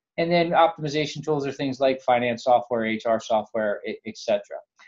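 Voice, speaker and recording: A plain, everyday voice at a fairly quick pace. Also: man. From New Jersey. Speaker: software company CEO. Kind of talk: interview.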